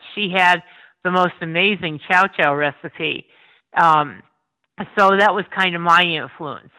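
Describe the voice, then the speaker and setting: Fairly low-pitched female speech in a Northeast Pennsylvania accent, bright and sharp in tone, fairly slow with long, frequent pauses and fairly even intonation, in a very clean recording with a silent background. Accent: Northeastern Pennsylvania. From Pennsylvania coal region, Schuylkill County. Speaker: food blogger. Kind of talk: casual chat.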